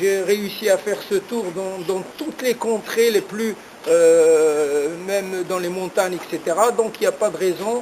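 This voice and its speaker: Against noticeable background noise, a man talks very slowly at a high pitch with fairly even intonation. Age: 60s. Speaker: long-distance cyclist. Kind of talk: interview. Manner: halting, many hesitations.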